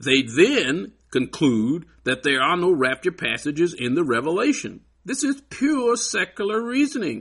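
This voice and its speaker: The voice moves through very wide pitch swings at a fairly slow pace. The background is quiet. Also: man, high pitch for a man. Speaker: Bible teacher. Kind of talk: lecture. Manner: emphatic.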